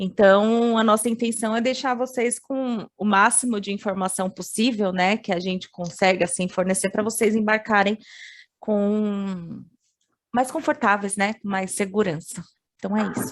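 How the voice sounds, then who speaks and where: At a fairly slow pace, an ordinary speaking voice delivers lines with fairly even intonation. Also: woman, medium pitch for a woman. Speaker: international education advisor. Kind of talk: webinar presentation.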